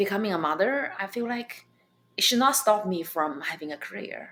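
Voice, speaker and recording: A woman with a Chinese accent talks at a moderate pace with ordinary pitch variation. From China. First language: Mandarin Chinese. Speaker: stand-up comedian. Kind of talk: interview. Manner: animated.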